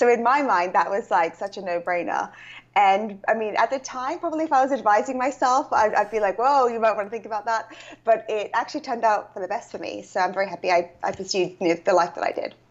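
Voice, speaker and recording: A woman with a British accent, fairly high in pitch, very fast, with lively intonation. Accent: British accent noted. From UK. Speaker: author and coach. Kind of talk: interview.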